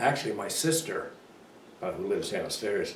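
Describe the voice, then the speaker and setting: A man's voice carries audible room echo. Noticeable background noise is also present. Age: 90s. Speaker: local elder interviewee. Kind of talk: oral history interview. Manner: halting.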